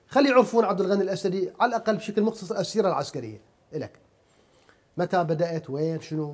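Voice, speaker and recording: A man speaks in a high pitch at a moderate pace. His intonation is lively. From Iraq. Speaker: TV interviewer. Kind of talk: interview. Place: home room.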